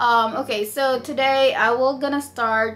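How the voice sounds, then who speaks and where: Speaking at a fairly slow pace, a woman with a Filipino accent uses ordinary pitch variation. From Philippines. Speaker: vlogger. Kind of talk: tutorial.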